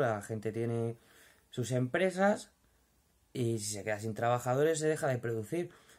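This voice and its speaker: A medium-pitched man with a Madrid accent against a quiet background. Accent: Madrid Spanish (castizo). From Madrid, Spain. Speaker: vlogger, furniture company worker. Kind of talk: casual vlog monologue. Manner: informal, hesitant with fillers. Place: home room. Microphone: phone near.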